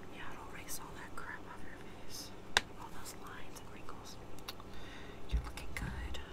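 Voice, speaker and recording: Whispered speech from a woman, moderately paced. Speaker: role-play makeover host. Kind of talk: ASMR-style role-play talk. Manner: soft close ASMR roleplay voice. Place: home room. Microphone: earbuds.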